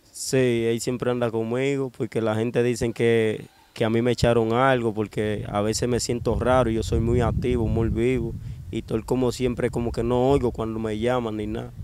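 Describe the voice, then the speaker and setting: A man's monotone, flat delivery at a moderate pace, dry with no echo, over noticeable background noise. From Dominican Republic, Cibao (Bonao); Cibao, Dominican Republic. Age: 20s. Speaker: kidnapping survivor; interviewee. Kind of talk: interview testimony. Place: street. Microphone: handheld.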